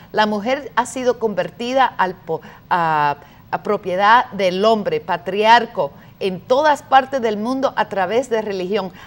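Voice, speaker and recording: Fairly high in pitch, a woman's voice moves at a fairly slow pace with lively intonation. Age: 50s. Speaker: activist; talk show guest. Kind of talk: debate. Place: studio. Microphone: lapel.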